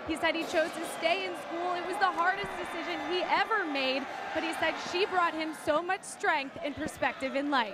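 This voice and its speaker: A woman speaks in a raised, projected voice with an extremely high pitch, ordinary pitch variation and a moderate pace. The sound is dry with no echo, though loud background noise runs behind her. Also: hardly any pauses. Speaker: sideline reporter. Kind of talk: sideline interview and report. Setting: stadium sideline. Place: stadium. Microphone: handheld.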